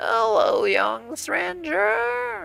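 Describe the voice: A shaky, put-on character voice with fairly high pitch plays over faint background music.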